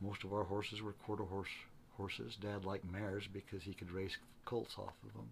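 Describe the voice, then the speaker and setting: Vocal fry at a fairly quick pace, with fairly even intonation. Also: man, fairly low pitch for a man. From central Utah. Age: 70s. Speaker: retired mule and horse outfitter. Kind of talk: casual interview. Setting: workshop.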